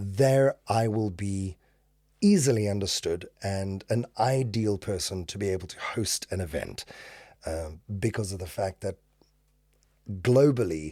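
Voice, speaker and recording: A man's fairly low, dark and mellow voice at a fairly slow pace, with ordinary pitch variation, long, frequent pauses and a very clean recording with a silent background. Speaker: event emcee and voice actor. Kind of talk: podcast interview. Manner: clear diction, careful enunciation; smooth.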